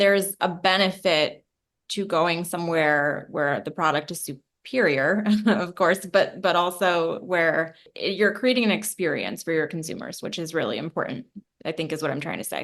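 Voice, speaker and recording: A woman talks in an unremarkable speaking voice with fairly low pitch. Her pitch variation is ordinary, and the background is quiet. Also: moderate pace. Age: 30s. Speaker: podcast host. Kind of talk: interview conversation.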